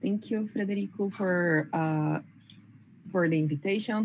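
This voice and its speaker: A woman speaks with a Brazilian Portuguese accent. Her voice is somewhat breathy. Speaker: biomedical informatics researcher at a hospital. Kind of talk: panel presentation. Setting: workshop round table with audience.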